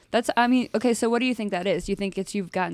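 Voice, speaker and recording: Her intonation is lively. The woman's delivery comes at a very fast pace. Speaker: podcast host. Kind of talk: casual chat about CrossFit.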